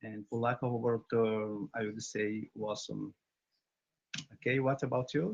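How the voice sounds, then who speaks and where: A man with a Brazilian Portuguese accent talks at medium pitch with long, frequent pauses, in a dry, close sound with no echo. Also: fairly even intonation, moderate pace. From Brazil, Bahia. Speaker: English learner, barber. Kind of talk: casual chat. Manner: halting.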